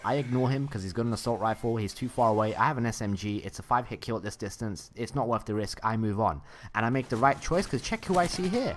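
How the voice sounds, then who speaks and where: Barely pausing at all, a man speaks at a very fast pace with medium pitch and ordinary pitch variation. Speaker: gameplay commentator. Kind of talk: gameplay commentary. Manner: casual.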